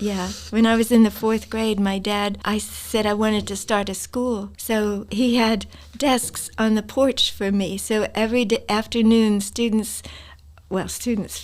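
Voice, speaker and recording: A woman's fairly high, monotone, flat voice at a fairly slow pace, with an American accent. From New Jersey, US. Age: 80s+. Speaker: retired teacher and author. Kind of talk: interview.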